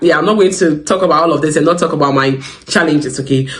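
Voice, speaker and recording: A man with a fairly high pitch talks at a very fast pace, with audible room echo and noticeable background noise. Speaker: psychiatric nurse and advice channel host. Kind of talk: advice talk to camera. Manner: conversational, frequent fillers.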